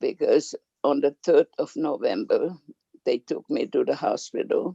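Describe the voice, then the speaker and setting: The recording is dry and close, without any echo. The speaker is a woman. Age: 80s+. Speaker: family elder. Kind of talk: testimony.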